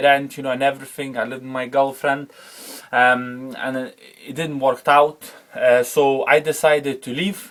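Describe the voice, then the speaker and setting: In a Lithuanian accent, a man speaks at a moderate pace in a fairly high, flat, monotone voice. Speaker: former car wash manager sharing his story. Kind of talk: personal testimony. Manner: halting, many fillers and repetitions.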